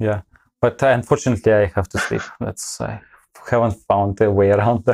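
A man's fairly low voice with vocal fry and fairly even intonation, in a dry, close sound with no echo on a very clean recording with a silent background. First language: not English. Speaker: data scientist and community founder. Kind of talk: interview.

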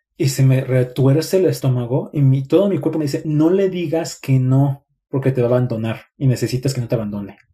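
At a fairly quick pace with hardly any pauses, a man speaks in a somewhat breathy, dark and mellow tone of medium pitch with ordinary pitch variation. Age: 30s. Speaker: psychologist and relationship content creator. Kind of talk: live stream talk.

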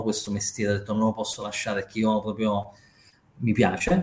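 A man speaks at medium pitch and sounds somewhat breathy. The recording is very clean, with a silent background. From Naples and Rome, Italy. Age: 40s. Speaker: trader and finance educator. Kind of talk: casual interview chat.

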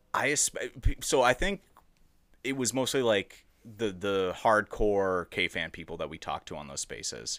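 In a Minnesotan accent, a man speaks fairly slowly in a fairly low pitch with lively intonation and big swings in loudness, on a very clean, dry, close recording with no echo and a silent background. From Edina, Minnesota. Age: 20s. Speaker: guest. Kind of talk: casual chat.

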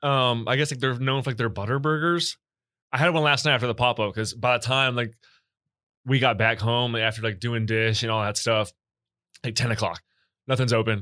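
A man's medium-pitched voice, bright and sharp in tone, at a fairly quick pace with fairly even intonation and long, frequent pauses, in a very clean recording with a silent background. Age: 20s. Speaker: guest, pizza maker. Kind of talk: casual chat.

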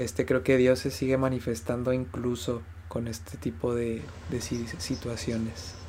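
His tone is dark and mellow, somewhat breathy, at a medium pitch. The man talks at a fairly slow pace with lively intonation. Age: 20s. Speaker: podcast co-host. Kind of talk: casual chat.

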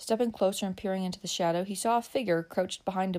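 The speaker reads a text. It is reading aloud in a natural voice.

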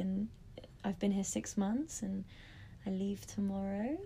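A woman with a London accent talks at a moderate pace. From London, England. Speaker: yoga teacher. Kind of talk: casual chat.

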